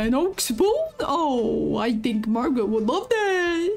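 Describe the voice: A female-sounding put-on character voice speaks at a fairly slow pace over faint music in the background.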